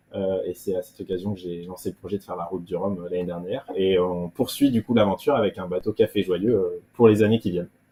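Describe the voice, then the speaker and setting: A man's very deep, low voice at a very fast pace, fairly even in intonation, with hardly any pauses. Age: 30s. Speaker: offshore sailor. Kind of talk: interview. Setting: video call from home. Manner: hesitant, many fillers.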